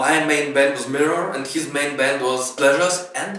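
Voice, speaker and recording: There is audible room echo and noticeable background noise. A man with a Russian accent speaks at a fairly high pitch. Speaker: pianist and band musician. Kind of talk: documentary interview.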